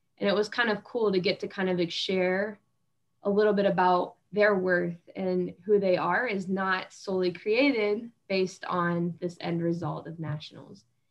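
With an American accent, a woman talks at a moderate pace in an unremarkable speaking voice, her medium pitch held in fairly even intonation. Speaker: former college gymnast, physical therapy student. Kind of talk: casual chat.

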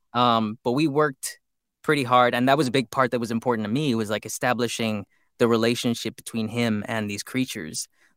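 With an American accent, a man talks at a fairly quick pace at a medium pitch and fairly even intonation. The sound is dry and close with no echo, in a very clean recording with a silent background. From East Los Angeles. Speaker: voice actor. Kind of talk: casual interview.

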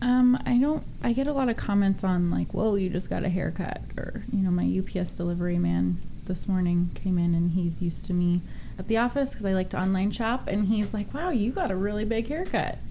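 A woman with a medium-pitched voice talks at a fairly quick pace with ordinary pitch variation, and some room echo can be heard. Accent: American. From Northern California. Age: 30s. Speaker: pageant contestant with alopecia. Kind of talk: radio interview. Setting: studio.

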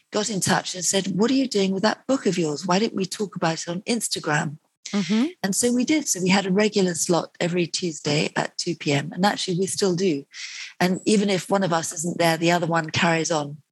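With a British accent, a woman speaks at a fairly quick pace in a somewhat breathy voice. Her pitch is medium, with ordinary variation. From UK. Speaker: nutritionist and author. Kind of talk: interview.

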